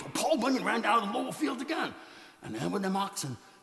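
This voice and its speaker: A man's put-on character voice, high-pitched and very fast, with very wide pitch swings and a slight echo. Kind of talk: tall tale storytelling performance. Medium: read story. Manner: folksy, comic.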